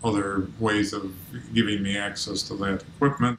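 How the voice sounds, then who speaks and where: With audible room echo and light background noise, a man speaks at a moderate pace in a fairly low voice, his intonation fairly even. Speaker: interviewee. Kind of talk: interview answer. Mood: calm, matter-of-fact. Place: home room.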